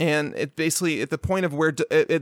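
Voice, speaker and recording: Recorded very cleanly against a silent background, with a dry, close sound and no echo, a man speaks at a fairly quick pace in an American accent. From Chicago, US Midwest. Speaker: fantasy football analyst, co-host. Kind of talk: casual chat. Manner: fast.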